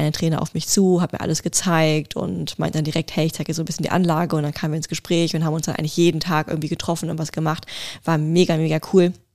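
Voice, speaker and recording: Her voice sits fairly low for a woman, delivered at a very fast pace in a monotone, flat intonation. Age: young. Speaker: podcast co-host. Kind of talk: casual chat.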